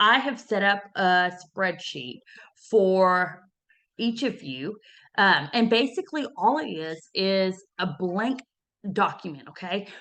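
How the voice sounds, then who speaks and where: Very slowly and loudly, a woman speaks at a medium pitch with a bright, sharp tone. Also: lively intonation. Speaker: personal finance coach. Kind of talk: motivational talk; tutorial. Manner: casual.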